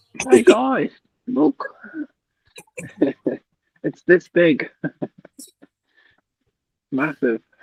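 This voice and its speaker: A squeaky, put-on character voice at a middle pitch, with very wide pitch swings, a very slow pace and long, frequent pauses. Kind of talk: quiet.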